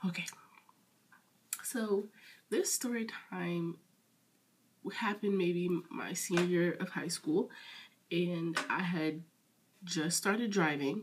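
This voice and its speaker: A woman speaks at a very slow pace with long, frequent pauses, her fairly low voice somewhat breathy. Her pitch varies in an ordinary way. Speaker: storytime vlogger. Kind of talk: casual storytelling.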